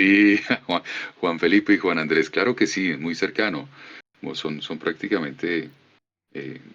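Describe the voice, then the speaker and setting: A man with a Colombian accent speaks at a very deep, low pitch and a fairly slow pace, with ordinary pitch variation. He leaves long, frequent pauses. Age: 50s. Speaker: voice actor. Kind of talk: casual conversation. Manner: warm, effusive.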